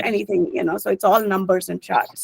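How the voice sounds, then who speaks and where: In a dry, close recording with no echo, a woman with a medium-pitched voice and vocal fry talks at a fairly quick pace. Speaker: finance professional. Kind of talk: webinar talk. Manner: fast.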